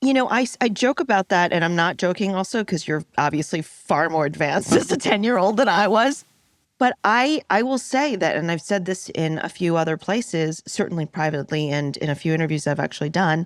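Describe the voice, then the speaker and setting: A woman's fairly low, lively voice with an American accent, an ordinary speaking voice at a fairly quick pace with hardly any pauses, in a dry, close sound with no echo. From New York. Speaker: podcast host. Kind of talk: interview.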